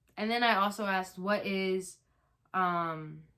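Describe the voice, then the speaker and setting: A woman's bright, sharp voice holds a flat monotone. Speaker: YouTuber. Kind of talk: casual chat. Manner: loud; hesitant, many ums.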